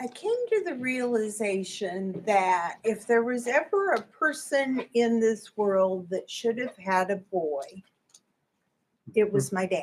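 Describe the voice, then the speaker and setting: A woman speaks with a Midwestern American accent. Her pace is very slow. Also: fairly high pitch for a woman, lively intonation. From US Midwest, Indianapolis, Indiana. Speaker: church member giving testimony. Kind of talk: testimony.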